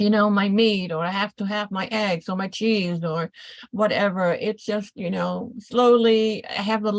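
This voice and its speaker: Over music in the background, a woman with a Dutch accent talks at a fairly slow pace in a medium pitch with fairly even intonation. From Netherlands. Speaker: detox and nutritional health coach. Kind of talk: casual health Q&A chat. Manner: halting.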